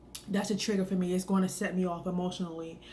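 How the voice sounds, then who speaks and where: Soft-spoken, a woman talks at medium pitch with monotone, flat intonation. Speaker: wellness vlogger. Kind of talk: casual talk to camera. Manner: hesitant, many fillers.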